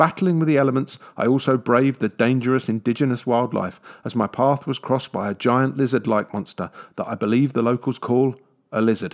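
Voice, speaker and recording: A man with a London accent speaks at a medium pitch and a fairly quick pace with ordinary pitch variation. The recording is very clean, with a silent background and a dry, close sound with no echo. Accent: British, southwest London. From southwest London, England. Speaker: travel podcaster. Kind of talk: scripted narration.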